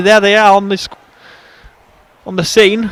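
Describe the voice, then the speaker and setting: High-pitched male voice against noticeable background noise. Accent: English. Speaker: football commentator. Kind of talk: live commentary. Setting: football stadium. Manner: clear and precise; animated.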